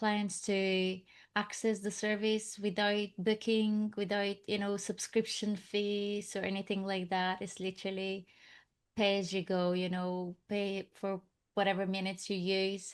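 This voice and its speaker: A woman talks at a medium pitch in a monotone, flat intonation. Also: fairly slow pace, very clean recording, silent background. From Bulgaria. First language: Bulgarian. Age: 40s. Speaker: business owner. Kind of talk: podcast interview. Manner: hesitant, many fillers.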